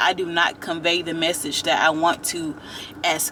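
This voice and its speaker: Against noticeable background noise, a woman talks fairly slowly. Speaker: YouTube TV reviewer. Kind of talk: casual vlog commentary. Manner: animated, conversational.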